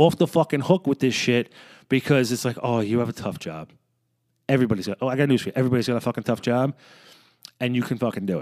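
A man talks very fast in a very clean recording with a silent background and a dry, close sound with no echo. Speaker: podcaster, law enforcement officer. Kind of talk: angry rant, unscripted solo monologue. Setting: basement, home recording. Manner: heated, profane, emphatic; fast, off-the-cuff, conversational.

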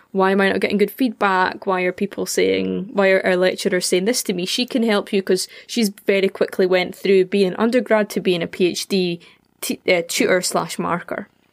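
A woman speaks with a Scottish accent and fairly even intonation. The recording is very clean, with a silent background and a dry, close sound with no echo. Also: medium pitch for a woman, moderate pace. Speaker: podcast host. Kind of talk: casual chat, podcast conversation.

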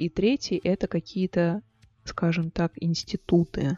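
A woman speaks in a fairly low voice. Her pace is very slow. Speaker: podcast host, music sociologist. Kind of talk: casual educational monologue. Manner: unscripted, awkward chatty.

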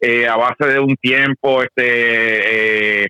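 In a monotone, flat intonation, the man's voice holds at a medium pitch. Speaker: practical shooting competitor. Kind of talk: casual interview.

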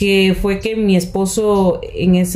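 Noticeable background noise and audible room echo fill the recording. The pitch varies in an ordinary way. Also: woman. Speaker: radio announcer. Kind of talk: interview.

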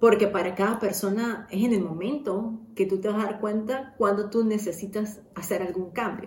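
Heard with audible room echo, a woman with a medium pitch speaks at a moderate pace with fairly even intonation and hardly any pauses. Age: 30s. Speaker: podcast host. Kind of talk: personal monologue. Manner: casual, with many fillers.

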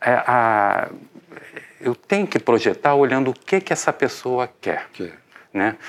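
A man speaks at a very slow pace with long, frequent pauses, his medium-pitched voice carrying lively intonation. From Rio de Janeiro. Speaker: architect and urban planning professor. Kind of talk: interview.

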